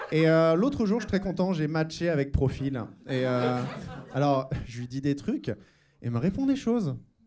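Faint music plays in the background while a man with a fairly high pitch and lively intonation speaks at a moderate pace, taking long, frequent pauses. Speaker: stand-up comedian. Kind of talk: parody stand-up sketch with fill-in-the-blank placeholders. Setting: stage with audience. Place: stage. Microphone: handheld.

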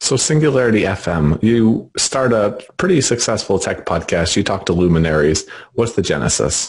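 Somewhat breathy male speech, fairly low in pitch, with very wide pitch swings and hardly any pauses. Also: moderate pace, very even loudness. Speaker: podcast interviewer. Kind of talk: interview conversation.

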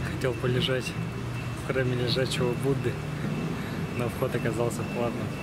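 Over loud background noise, a man speaks at a moderate pace with long, frequent pauses, the sound dry with no echo. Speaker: hitchhiking traveler. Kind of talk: casual travel vlog narration. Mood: cheerful despite hunger. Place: street. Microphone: phone near.

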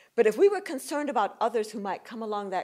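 There is a quiet background behind the woman who is talking. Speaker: guest lecturer. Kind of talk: lecture. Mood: warm, animated. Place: hall. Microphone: podium.

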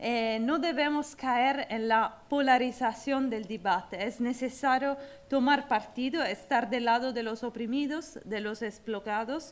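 With an Italian accent, a woman speaks high and fairly slowly, using ordinary pitch variation and hardly any pauses. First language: Italian (speaking Spanish). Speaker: former mayor and activist. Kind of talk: award acceptance speech. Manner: halting. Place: hall. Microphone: podium.

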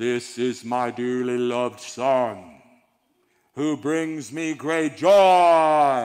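A man puts on a character voice, pitched at a medium level and delivered at a very slow pace. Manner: grand, solemn.

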